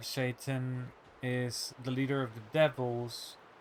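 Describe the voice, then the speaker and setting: A man's medium-pitched, monotone, flat voice at a very slow pace, over noticeable background noise. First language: not English. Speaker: streamer. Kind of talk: casual live-stream chat. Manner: halting, many fillers.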